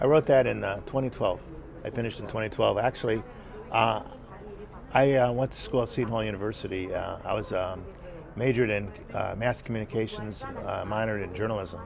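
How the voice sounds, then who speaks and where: A man with an American accent talks at a fairly quick pace, medium pitch and fairly even intonation, with long, frequent pauses. Audible room echo and noticeable background noise accompany him. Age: 60s. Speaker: screenwriter. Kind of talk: interview. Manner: halting, many fillers.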